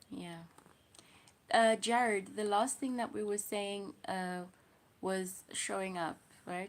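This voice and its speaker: Fairly slow speech in a South African accent, with ordinary pitch variation and long, frequent pauses. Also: woman. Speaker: livestreamer. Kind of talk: casual livestream chat.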